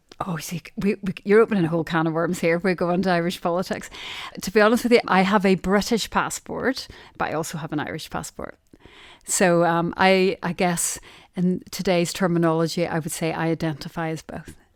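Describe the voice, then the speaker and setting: On a very clean recording with a silent background, a woman with a strong Derry accent speaks at a fairly quick pace, fairly low in pitch and with fairly even intonation. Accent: Derry accent, still strong. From Northern Ireland, Derry. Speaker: sourcing manager. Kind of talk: interview conversation.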